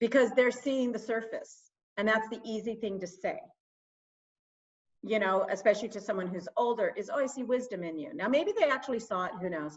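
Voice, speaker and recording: Talking at a fairly quick pace, a woman with a plain, everyday voice and a fairly high pitch uses lively intonation. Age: 60s. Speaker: small business owner and marketing specialist. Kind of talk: interview.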